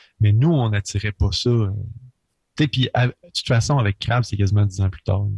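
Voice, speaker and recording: Long, frequent pauses break up a somewhat breathy voice moving at a moderate pace with ordinary pitch variation. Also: man, fairly low pitch for a man. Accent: Quebec. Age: 20s. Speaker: rock musician. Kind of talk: casual radio interview.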